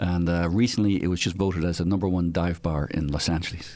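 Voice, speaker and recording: A man with an Irish accent speaks at a very deep, low pitch with ordinary pitch variation. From Ireland (Dublin). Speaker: retired naval aviator. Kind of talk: casual interview chat.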